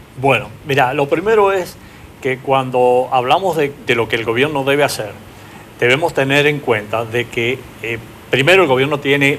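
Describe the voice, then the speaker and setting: Moderate pace over noticeable background noise. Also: man. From Argentina, Paraná, Entre Ríos. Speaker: business consultant. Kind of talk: TV interview. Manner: hesitant, many fillers.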